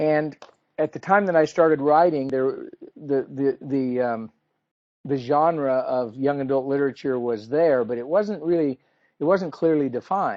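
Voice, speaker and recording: A man with an American accent speaks in a fairly high voice with ordinary pitch variation. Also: moderate pace. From Idaho, US. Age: 60s. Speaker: author. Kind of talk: talk to an audience. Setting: video call. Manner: halting, many repeated words.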